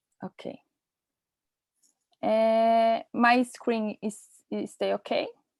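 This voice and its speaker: In a Portuguese accent, the speaker goes at a very slow pace with long, frequent pauses, and the sound is dry and close with no echo. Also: woman. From Brazil. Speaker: nurse and researcher. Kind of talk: presentation. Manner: halting.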